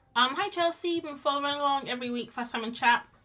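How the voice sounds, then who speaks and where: A woman speaks fairly quickly with lively intonation as noticeable background noise continues. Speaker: art streamer. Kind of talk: casual chat while drawing on a live stream. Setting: live stream. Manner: mumbly at times; chatty, rambling with false starts.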